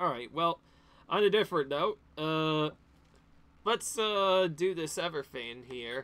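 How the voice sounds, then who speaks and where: Loud and bright with a sharp tone, a man at a fairly high pitch speaks at a very slow pace with long, frequent pauses. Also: lively intonation. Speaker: gaming video creator. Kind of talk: let's play commentary.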